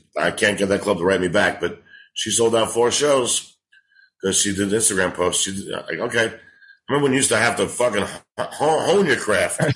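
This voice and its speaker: A man's medium-pitched voice in a New York accent, moderate in pace, with ordinary pitch variation and a quiet background. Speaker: stand-up comedian. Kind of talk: casual chat. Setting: living in Los Angeles.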